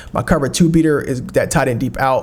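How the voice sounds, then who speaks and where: A man talks at a very fast pace with vocal fry. His pitch shows ordinary variation. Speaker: video game tutorial creator. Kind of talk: gameplay tutorial commentary. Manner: casual, with fillers.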